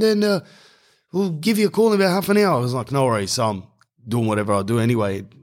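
The speaker talks at a very fast pace in an Australian accent, with very wide pitch swings. The recording is very clean, with a silent background. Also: man. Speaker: podcast host. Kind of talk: casual monologue. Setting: home garage. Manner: animated.

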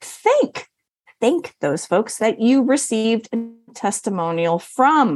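Music can be heard behind a woman's voice. She talks at a moderate pace, her pitch swinging very widely. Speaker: podcast co-host on business marketing. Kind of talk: casual podcast chat.

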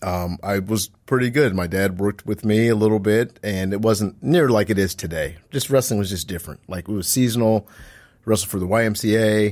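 A man with a fairly low pitch and ordinary pitch variation has an unremarkable speaking voice, on a very clean recording with a silent background. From Omaha, Nebraska. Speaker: wrestling coach and teacher. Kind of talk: interview.

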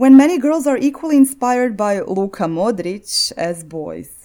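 A woman with a Croatian accent, a dark, mellow tone, very wide pitch swings and a fairly slow pace. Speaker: podcast host. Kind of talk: scripted narration.

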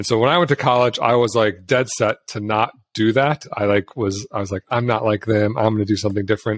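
In a very clean recording with a silent background and a dry, close sound with no echo, a man talks at a fairly quick pace in an ordinary speaking voice of medium pitch, with hardly any pauses. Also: ordinary pitch variation. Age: 40s. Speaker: entrepreneur and personal finance educator. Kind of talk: podcast interview. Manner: casual, filler-heavy speech.

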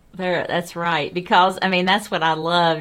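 Pitched fairly low, a woman with a Southern US accent speaks at a moderate pace. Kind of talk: devotional Bible discussion.

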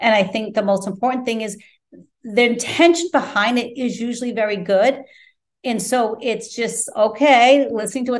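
With a plain, everyday voice, a woman speaks at a moderate pace in a fairly high pitch with ordinary pitch variation. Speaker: guest, life coach and author. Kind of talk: interview, reflective conversation. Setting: Italy, remote call. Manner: spiritual, reflective.

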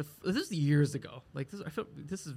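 A man with an American accent speaks at a fairly high pitch, with ordinary pitch variation. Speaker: comedian and podcast co-host. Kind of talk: casual chat. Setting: live recording at a market venue.

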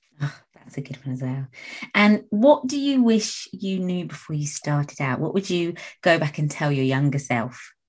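A woman speaks fairly slowly in a very deep, low, somewhat breathy voice. Her intonation is lively. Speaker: podcast host and nail tech. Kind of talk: interview, casual chat. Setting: online call recording.

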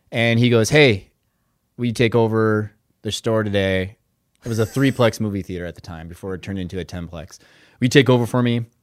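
Loudness swings widely in this very clean, silent-background recording of a voice with an Upper Midwest accent. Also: man, fairly low pitch for a man, ordinary pitch variation, fairly quick pace. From Minnesota. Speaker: business owner. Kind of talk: casual chat.

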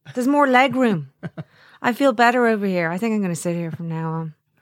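Lively in intonation, a woman speaks on a very clean recording with a silent background. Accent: Irish. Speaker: podcast co-host, radio presenter. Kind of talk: casual chat.

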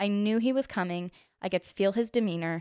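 A woman speaks with an American accent at a medium pitch and moderate pace, with ordinary pitch variation. The recording is very clean with a silent background, and the sound is dry and close with no echo. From Utah, Orem. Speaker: mother. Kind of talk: casual chat. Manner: soft-spoken.

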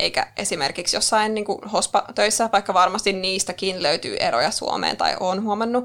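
A woman's plain, everyday voice at a medium pitch and moderate pace, with fairly even intonation, in a very clean recording with a silent background. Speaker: podcast co-host, marketing worker. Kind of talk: casual chat. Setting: studio.

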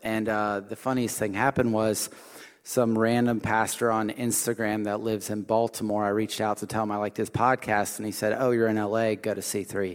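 A man talks in a normal speaking voice at medium pitch. His pace is fairly quick. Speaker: church apprentice preacher. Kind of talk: sermon. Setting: stage with audience.

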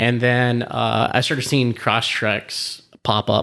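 Recorded very cleanly against a silent background, this voice carries vocal fry and an American accent. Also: man. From Southern California. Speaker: car enthusiast. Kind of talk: casual chat. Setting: in person at home.

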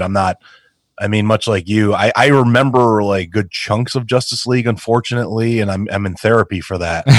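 An ordinary speaking voice from a man with an American accent, fairly low in pitch, at a moderate pace with fairly even intonation, on a very clean recording with a silent background. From New York, Queens. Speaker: podcast co-host. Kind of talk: casual chat.

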